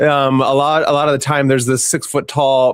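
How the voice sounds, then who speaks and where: This is an unremarkable speaking voice at a moderate pace. The sound is dry and close with no echo. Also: man. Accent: American. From United States. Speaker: podcast host. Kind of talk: casual interview chat.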